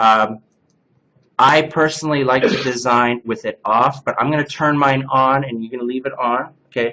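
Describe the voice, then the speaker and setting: An unremarkable speaking voice, this man's sits at a medium pitch, with fairly even intonation and a moderate pace. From Canada. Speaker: CNC workshop instructor. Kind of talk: hands-on software class.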